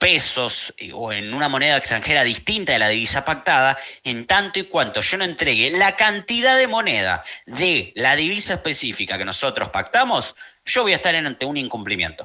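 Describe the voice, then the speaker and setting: With a Rioplatense accent, a man talks at a moderate pace in a fairly high voice full of vocal fry and very wide pitch swings. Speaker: law tutor. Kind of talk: online study group lesson.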